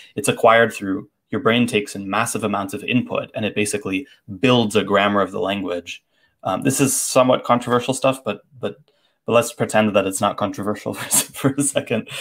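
Against a quiet background, a man with an American accent speaks at a fairly quick pace with ordinary pitch variation. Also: medium pitch for a man. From Boston. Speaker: language tutor and phonology teacher; language tutor, phonology teacher. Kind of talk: casual livestream conversation. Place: home room. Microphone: earbuds.

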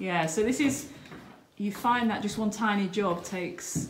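A woman speaks at a fairly slow pace. Noticeable background noise runs under her voice. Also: ordinary pitch variation. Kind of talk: casual vlog chat. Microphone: phone near.

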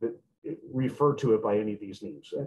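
A man's normal speaking voice at medium pitch with lively intonation. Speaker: veterinarian. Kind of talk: lecture. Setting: video call. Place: office. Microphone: webcam.

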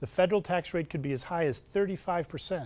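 A man is the speaker. He talks at a moderate pace. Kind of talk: scripted TV tip segment. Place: studio.

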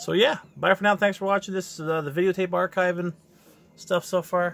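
A man talks at a fairly quick pace. His voice carries vocal fry.

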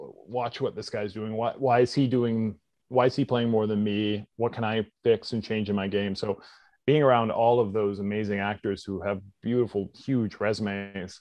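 A normal speaking voice with a Canadian accent, fairly even intonation and a moderate pace. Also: man, fairly low pitch for a man. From Canada, British Columbia (Squamish). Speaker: actor and stunt performer. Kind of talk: interview.

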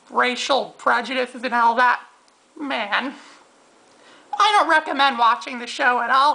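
A cartoonish character voice broken by long, frequent pauses. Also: man, extremely high pitch for a man, moderate pace. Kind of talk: comic puppet rant. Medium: puppet show. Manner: boastful, whiny, sneering; fast, ranting.

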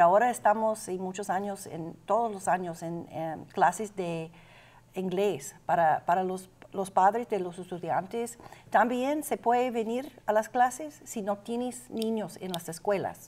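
Lively intonation marks this woman's speech, delivered at a fairly slow pace. She has an English accent and a medium pitch. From Austin, Texas. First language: English (speaking Spanish). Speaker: adult education director. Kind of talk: interview. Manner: halting. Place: studio.

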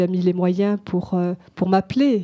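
Speaking fairly slowly, the woman has a dark, mellow tone. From France, Algerian family. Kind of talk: testimony. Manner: halting, many repetitions and hesitations.

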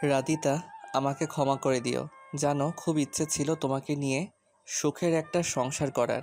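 Shaky and at a fairly slow pace, a put-on character voice sits at a low-to-middle pitch. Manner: apologetic, tender.

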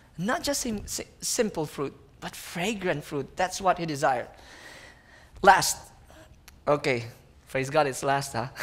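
A man speaks at a fairly slow pace, with long, frequent pauses. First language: not English. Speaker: missionary preacher. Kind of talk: sermon with rousing call-and-response, building to a climax. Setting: stage with audience, school worship event. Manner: animated, repeats key phrases for emphasis and prompts the audience; exclamatory and impassioned, awed asides. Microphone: headset.

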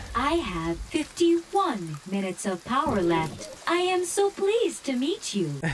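Over clear background noise, a put-on, robotic character voice speaks at a fairly slow pace and high pitch with very wide pitch swings. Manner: polite, cheerful.

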